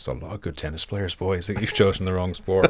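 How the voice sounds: Putting on a character voice, a man booms at a very fast pace with a very deep, low pitch.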